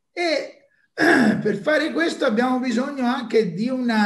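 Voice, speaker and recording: Lively intonation comes through at a very slow pace, with audible room echo against a quiet background. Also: man. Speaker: event organizer; university professor. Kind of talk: webinar introduction. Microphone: webcam.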